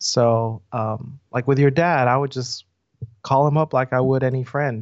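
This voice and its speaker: The speaker has an ordinary speaking voice. Intonation stays fairly even at a moderate pace. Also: man. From US South. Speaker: pastor. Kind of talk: casual interview conversation.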